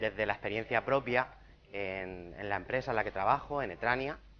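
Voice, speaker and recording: A man talks with a Murcian accent. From Spain, Murcia. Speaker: recruitment consultant. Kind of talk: conference talk.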